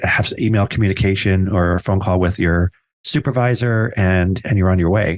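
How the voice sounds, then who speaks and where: Against a quiet background, a man with an American accent speaks at a fairly low pitch. His pace is fairly quick, with fairly even intonation and very even loudness. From New Jersey. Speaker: podcast host. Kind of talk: casual interview.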